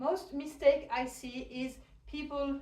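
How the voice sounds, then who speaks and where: Audible room echo surrounds a woman with a French accent whose high-pitched voice has a dark, mellow tone. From France. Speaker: hoop dance teacher. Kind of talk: tutorial. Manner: counting rhythmically while demonstrating.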